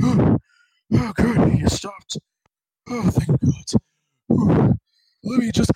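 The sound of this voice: A man uses a put-on character voice pitched high. He talks at a very slow pace with long, frequent pauses.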